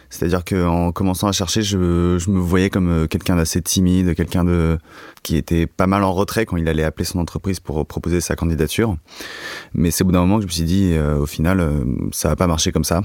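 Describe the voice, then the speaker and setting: His pitch is very deep and low, and this man moves at a fairly quick pace. Loudness stays very even throughout. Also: fairly even intonation. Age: 20s. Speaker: student. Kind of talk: casual chat. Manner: halting.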